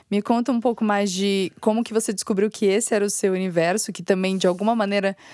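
In a dry, close sound with no echo, a woman speaks at a medium pitch in a plain, everyday voice. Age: 20s. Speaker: podcast host and content editor. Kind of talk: interview.

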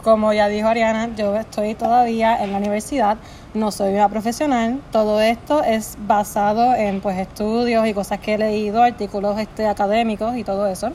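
A woman speaks at a moderate pace with fairly even intonation and a fairly high pitch. Noticeable background noise can be heard. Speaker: psychology student. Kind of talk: casual explanation. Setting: friend's house.

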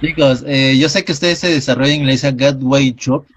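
A man talks at a fairly quick pace. His medium-pitched voice is somewhat breathy. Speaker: radio host. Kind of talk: interview.

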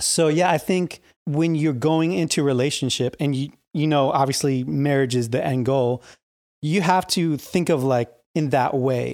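A man with a fairly high pitch speaks at a moderate pace in an ordinary speaking voice, his loudness very even, on a very clean recording with a silent background. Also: ordinary pitch variation. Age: 30s. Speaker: church youth minister. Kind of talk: casual chat.

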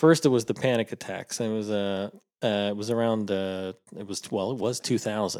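In a very clean recording with a silent background, a man with an unremarkable speaking voice talks at a fairly quick pace and a fairly low pitch. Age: 40s. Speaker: podcast co-host. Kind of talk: casual chat.

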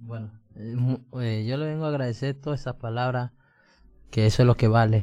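Fairly even intonation marks a man's voice, which has a dark, mellow tone. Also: medium pitch for a man, moderate pace. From Colombia. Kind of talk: casual chat.

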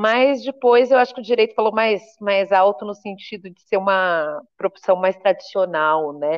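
In a normal speaking voice, a woman talks at a moderate pace and medium pitch with lively intonation, big swings in loudness and hardly any pauses. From Brazil, interior of São Paulo state. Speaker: human rights activist and lawyer. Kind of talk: interview conversation. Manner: casual, colloquial.

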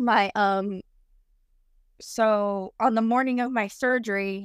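In a very clean recording with a silent background, a woman with a fairly high pitch speaks with fairly even intonation. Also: dry, close sound with no echo. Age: 30s. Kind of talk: personal storytelling interview. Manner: casual, with frequent fillers like um.

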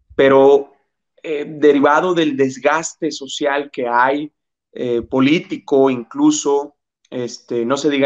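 Fairly slow speech from a man with a plain, everyday voice and a fairly high pitch, dry and close with no echo. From Mexico, Jalisco (Ciudad Guzmán), moved to Monterrey at 12. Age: 30s. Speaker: psychologist and labor relations specialist. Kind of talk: interview conversation.

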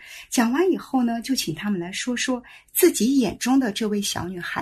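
Against a quiet background, the voice moves at a moderate pace with very wide swings in pitch. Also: woman. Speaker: children's educator. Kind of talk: casual chat.

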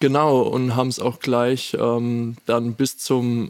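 A man speaks with flat, monotone intonation. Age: 20s. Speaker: student intern. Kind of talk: casual chat.

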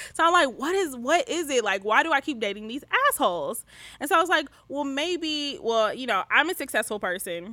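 Speaking at a fairly quick pace with an American accent, a woman uses a raised, projected voice with a high pitch, a bright, sharp tone and very wide pitch swings. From US Midwest, Detroit. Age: 20s. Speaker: podcast co-host, guest. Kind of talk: casual chat.

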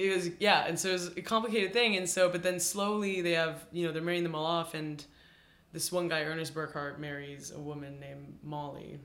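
A man talks at a fairly quick pace in a high, bright and sharp voice, with audible echo from the room. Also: fairly even intonation. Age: 20s. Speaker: cinematographer. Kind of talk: casual chat.

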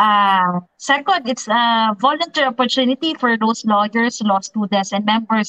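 With ordinary pitch variation, a woman speaks at a moderate pace in a fairly high pitch. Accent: Filipino. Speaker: lawyer, election watchdog leader. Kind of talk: panel discussion.

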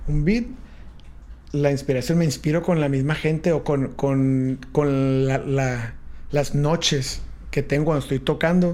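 With a dark, mellow tone and a fairly high pitch, a man talks at a fairly slow pace, his intonation fairly even and his loudness very even. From San Diego/Tijuana border region. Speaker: DJ and music producer. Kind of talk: casual interview. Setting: studio.

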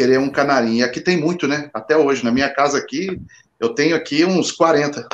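An ordinary speaking voice from a man, fairly high in pitch, with ordinary pitch variation and a moderate pace. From Guarujá, São Paulo state. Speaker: goalkeeper coach. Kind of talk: casual chat.

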